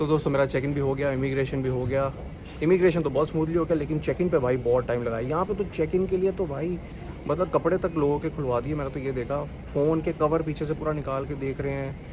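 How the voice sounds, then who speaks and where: A man speaks at a fairly high pitch with fairly even intonation. Noticeable background noise sits behind him. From India. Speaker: travel vlogger. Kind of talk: casual vlog narration. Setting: on the move, taxi and airport. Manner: casual, conversational.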